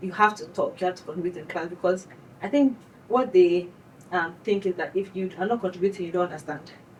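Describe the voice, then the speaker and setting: Speaking very fast with a Nigerian accent, a woman uses a medium pitch, ordinary pitch variation and big swings in loudness. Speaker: graduate student. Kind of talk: casual chat.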